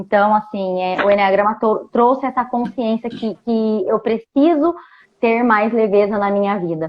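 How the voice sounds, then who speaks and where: Fairly high female voice at a fairly slow pace with ordinary pitch variation. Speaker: enneagram coach. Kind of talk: casual chat. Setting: video call.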